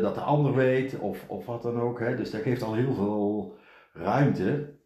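Over audible room echo, a man speaks at a fairly slow pace with ordinary pitch variation. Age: 50s. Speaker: podcast host's partner, businessman. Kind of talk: casual chat. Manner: halting, frequent repetitions.

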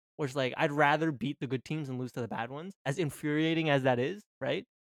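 The recording has a dry, close sound with no echo as a man with an ordinary speaking voice speaks at medium pitch and a moderate pace, his intonation fairly even. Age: 20s. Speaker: hockey podcast co-host. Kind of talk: casual chat.

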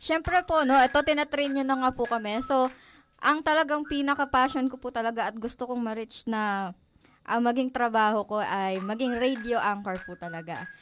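On a very clean recording with a silent background, a woman with a high pitch talks at a moderate pace with lively intonation. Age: young. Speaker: college student, student organization president. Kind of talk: radio interview.

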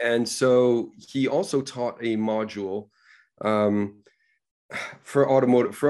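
A man with an American accent speaks at medium pitch with fairly even intonation, in an unremarkable speaking voice. The recording is very clean, with a silent background. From New York City. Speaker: automotive design communications manager. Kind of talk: interview.

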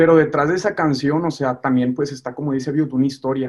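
Medium pitch and fairly even intonation in a man's voice. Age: 20s. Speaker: musician. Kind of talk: casual chat. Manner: halting.

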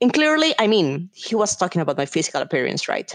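With a Spanish accent, a woman is speaking. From Colombia. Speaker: business executive. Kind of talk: interview.

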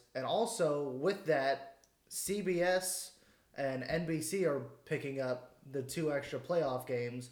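Here a man speaks at a very slow pace. His fairly high voice shows ordinary pitch variation. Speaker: podcast co-host. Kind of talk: casual chat. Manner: loud.

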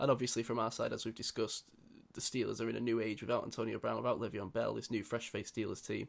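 In a very clean recording with a silent background, a man with a British accent talks at a very fast pace. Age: 20s. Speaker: podcast host. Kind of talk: casual chat.

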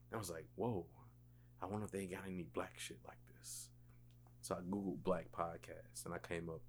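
Using an American accent, a man speaks at a moderate pace in a very deep, low pitch with vocal fry and lively intonation. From South Carolina (Columbia area). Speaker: podcast host. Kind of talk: casual chat.

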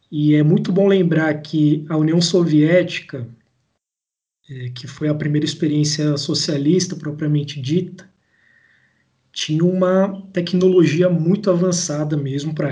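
A man's high-pitched, dark, mellow voice with fairly even intonation at a fairly slow pace. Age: 20s. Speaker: engineer and political activist podcaster. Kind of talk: casual political discussion.

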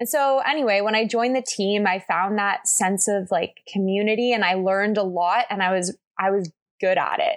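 A woman with a Canadian accent talks at a medium pitch, with ordinary pitch variation and hardly any pauses. Her loudness stays very even against a quiet background, in a plain, everyday voice. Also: moderate pace. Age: 20s. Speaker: paramedic student and personal trainer. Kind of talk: casual interview chat.

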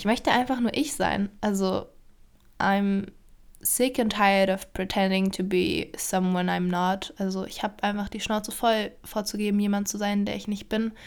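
Moderate-paced speech from a woman in a normal speaking voice, medium-pitched, the intonation fairly even. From Germany, Berlin (Charlottenburg). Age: 20s. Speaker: podcaster, aspiring actress. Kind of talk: solo podcast introduction, casual monologue. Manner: casual with frequent fillers and laughter.

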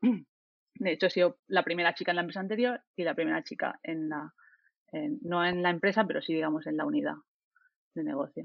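In an ordinary speaking voice pitched fairly low, a woman talks at a moderate speed. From Spain, Murcia. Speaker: software developer and team lead. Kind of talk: casual panel discussion.

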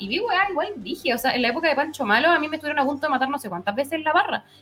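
A woman talks at a very fast pace. Her high-pitched voice has lively intonation. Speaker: football podcast panelist. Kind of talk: casual chat.

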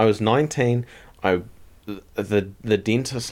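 A man's medium-pitched voice is captured in a very clean recording with a silent background. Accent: New Zealand. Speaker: podcast co-host. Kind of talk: casual chat. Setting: living room at night. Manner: laughs often, playful.

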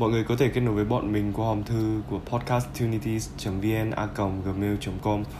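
Music plays behind a man whose pitch is fairly low. His intonation stays fairly even, and audible room echo fills the space. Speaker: student podcast co-host. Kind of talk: scripted podcast outro.

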